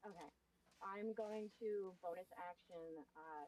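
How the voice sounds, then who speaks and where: With ordinary pitch variation and a fairly low pitch, a woman talks in a normal speaking voice. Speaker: tabletop roleplaying player. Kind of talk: tabletop roleplaying game session.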